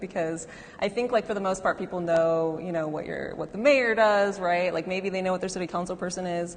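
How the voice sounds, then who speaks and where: Noticeable background noise accompanies speech that has ordinary pitch variation. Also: woman. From Southern California, north of San Fernando Valley. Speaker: moderator, writer. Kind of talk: moderated panel conversation. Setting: live event in a gallery with audience.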